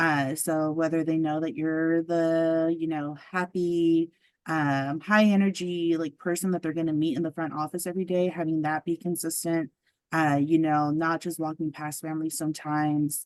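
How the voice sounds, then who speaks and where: A woman's fairly low-pitched, monotone voice with flat intonation at a moderate pace. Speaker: state family engagement specialist. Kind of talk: presentation. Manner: many fillers (um, uh).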